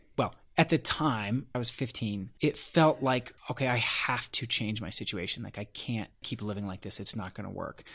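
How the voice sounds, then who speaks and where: Someone with an American accent speaks at a moderate pace with hardly any pauses and ordinary pitch variation. The recording is very clean, with a silent background. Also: man, medium pitch for a man. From Colorado. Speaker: actor and coach. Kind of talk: interview.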